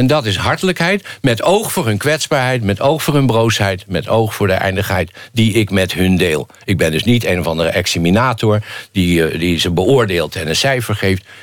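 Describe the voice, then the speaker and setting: With lively intonation and a normal speaking voice, a man talks at a moderate pace and a fairly low pitch. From Rotterdam, Netherlands. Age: 50s. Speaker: philosophy lecturer. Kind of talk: casual chat.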